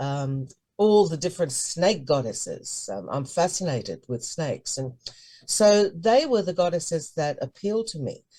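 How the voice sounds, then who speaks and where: A woman speaks at a moderate pace in a fairly low, somewhat breathy voice with a dark, mellow tone. Her pitch swings very widely. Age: 70s. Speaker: high priestess. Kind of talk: interview.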